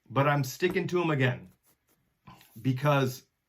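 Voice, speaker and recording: Somewhat breathy and at medium pitch, a man talks at a fairly slow pace with ordinary pitch variation. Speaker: podcast host. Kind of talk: casual solo podcast monologue.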